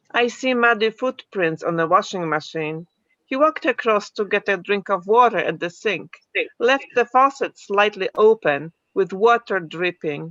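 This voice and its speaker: Lively intonation runs through this speech. The woman talks with a non-native accent. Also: medium pitch for a woman, moderate pace, dry, close sound with no echo. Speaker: poet and book publisher. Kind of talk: casual chat and poetry reading.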